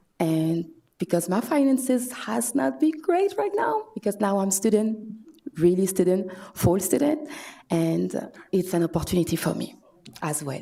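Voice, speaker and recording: A woman with a French accent speaks at medium pitch and a moderate pace, her pitch swinging very widely. Her pauses are long and frequent. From France. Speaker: public commenter, mother and student. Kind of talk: public comment at city meeting. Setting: city commission chambers. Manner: halting.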